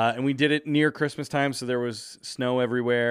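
A natural reading voice comes through, its intonation fairly even.

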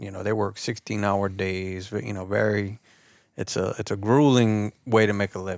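On a very clean recording with a silent background, a man with a South Louisiana accent speaks with fairly even intonation. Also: fairly low pitch for a man, moderate pace. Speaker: YouTube outdoor content creator. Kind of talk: casual chat.

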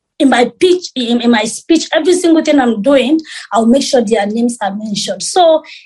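Lively intonation carries the speech along at a fairly quick pace. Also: woman. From Sierra Leone. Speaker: beauty pageant queen and model. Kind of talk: interview.

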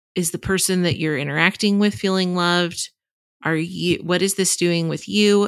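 A woman with an American accent and an unremarkable speaking voice, fairly low in pitch, with fairly even intonation at a moderate pace, in a very clean recording over a silent background. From Texas. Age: 30s. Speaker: journalist and author. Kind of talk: interview conversation.

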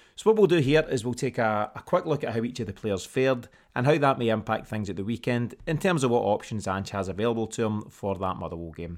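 In a Scottish accent, a man at medium pitch rattles along very fast with hardly any pauses and lively intonation, in a very clean recording with a silent background. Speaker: podcast host. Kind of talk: casual sports podcast bulletin. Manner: conversational, slightly hesitant with fillers.

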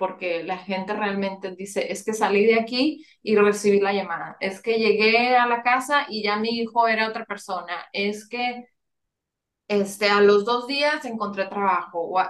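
At a fairly high pitch, a woman with an unremarkable speaking voice shows ordinary pitch variation. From Monterrey, northern Mexico. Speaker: family constellations facilitator. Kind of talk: interview.

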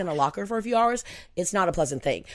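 A woman with an American accent, animated and lively in intonation, on a very clean recording with a silent background. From US Pacific Northwest. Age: 50s. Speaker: non-profit founder. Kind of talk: casual chat. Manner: outgoing.

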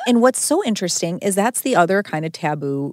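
A woman speaks with lively intonation. It is an ordinary speaking voice. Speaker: food podcast host. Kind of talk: casual interview chat over food. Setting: in person, eating together.

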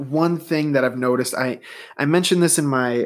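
A man is speaking here. His pace is fairly quick. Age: 20s. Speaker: sports podcast host. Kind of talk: solo sports commentary podcast. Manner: casual, hesitant with fillers.

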